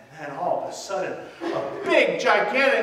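A fairly bright tone moves through very wide pitch swings at a fairly slow pace, with strong room echo. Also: man.

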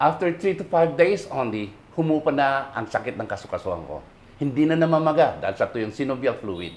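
At a fairly quick pace, a man with a fairly high pitch talks with lively intonation and vocal fry. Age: 50s. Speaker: construction worker. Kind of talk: testimonial.

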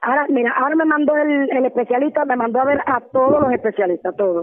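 A woman at a fairly quick pace. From Cuba. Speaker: political prisoner. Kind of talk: testimony. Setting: phone call. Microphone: phone line.

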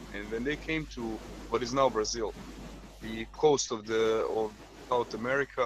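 A man speaks with a Croatian accent at a moderate pace. The sound is dry with no echo, with light background noise. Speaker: medical student; panel member. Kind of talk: casual chat. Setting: video call. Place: home room. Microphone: video call.

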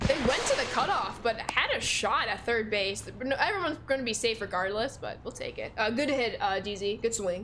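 Speaking at a fairly quick pace with hardly any pauses, a woman with an American accent uses a fairly high pitch and ordinary pitch variation over faint background music. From Chicago, US Midwest. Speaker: video game streamer. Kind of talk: live gaming stream chat. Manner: animated. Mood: upbeat, friendly. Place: home room.

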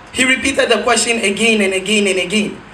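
Projecting a raised voice with an animated tone, a man speaks at a fairly quick pace amid light background noise and audible room echo. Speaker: spoken word poet. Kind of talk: spoken word poem performed on stage. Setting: stage with audience. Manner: animated, rhetorical, building rhythmically with repeated questions; satirical, accusing. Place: stage.

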